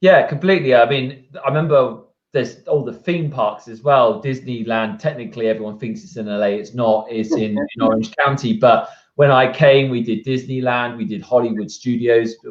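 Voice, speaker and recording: A man with an English accent talks at a moderate pace and medium pitch. His pitch varies in an ordinary way while his loudness swings widely. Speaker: real estate agent, show host. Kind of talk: podcast host talk.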